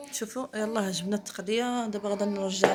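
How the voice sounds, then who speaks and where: A woman speaks with a Moroccan accent at a medium pitch. Her intonation is fairly even. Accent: Moroccan Arabic (Darija). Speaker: vlogger. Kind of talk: casual vlog chat. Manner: halting.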